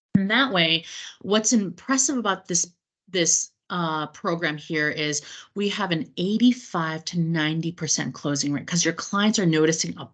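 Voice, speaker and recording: A woman with a plain, everyday voice, fairly low pitch, ordinary pitch variation, and a moderate pace against a quiet background. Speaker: cruise line sales representative training travel agents. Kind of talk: webinar training presentation. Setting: online meeting recording.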